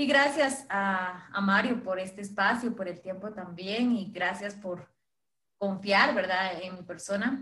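Very slow speech from a woman at a medium pitch. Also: ordinary pitch variation. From Guatemala, Chichicastenango. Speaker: co-host. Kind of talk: live social media stream chat.

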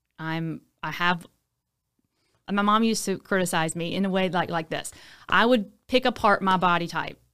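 A woman with an American accent at a medium pitch, bright and sharp in tone, at a moderate pace with long, frequent pauses and ordinary pitch variation, in a very clean recording with a silent background. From Louisiana, Baton Rouge. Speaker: hairstylist and fitness instructor. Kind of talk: casual chat.

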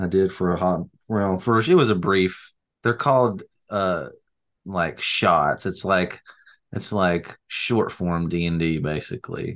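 In an Appalachian accent, a man with a very deep, low pitch talks at a fairly slow pace with ordinary pitch variation against a quiet background. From North Alabama. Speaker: podcast co-host. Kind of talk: casual chat.

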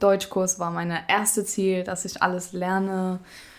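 The woman talks at a very slow pace in a medium pitch. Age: 20s. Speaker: apprentice baker. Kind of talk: casual interview chat.

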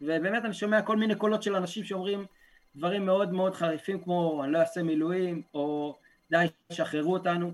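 This man's voice sits high in pitch, with ordinary variation in its pitch. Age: 20s. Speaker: yeshiva student, protest leader, former soldier. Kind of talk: podcast interview.

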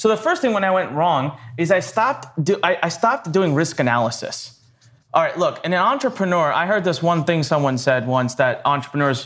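A high-pitched man with an American accent talks at a fairly quick pace and a very even loudness. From northern India (Punjabi), raised partly in Maryland. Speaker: entrepreneur and copywriting teacher. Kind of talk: interview storytelling.

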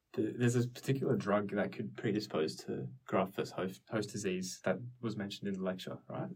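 A man in an Australian accent speaks with vocal fry and lively intonation. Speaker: medical student podcast host. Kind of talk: casual educational discussion. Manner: casual.

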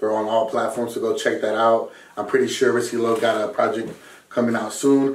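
Audible room echo surrounds a man with an American accent. His intonation is monotone and flat. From Southern California. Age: 20s. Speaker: rapper and music producer. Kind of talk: casual chat.

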